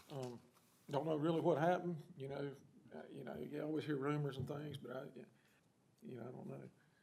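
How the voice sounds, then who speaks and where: With an American accent, a man speaks at a fairly quick pace with a fairly high pitch, fairly even intonation and a dark, mellow tone with vocal fry. There are long, frequent pauses, big swings in loudness and audible room echo. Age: 60s. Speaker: town council member. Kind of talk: council meeting discussion. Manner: halting.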